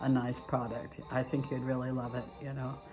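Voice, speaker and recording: A woman's voice with music in the background. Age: 70s. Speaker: devotional author. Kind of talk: casual talk to camera. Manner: chatty, folksy.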